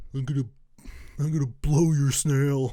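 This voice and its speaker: A put-on character voice with a low-to-middle pitch moves at a moderate pace. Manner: goofy, silly.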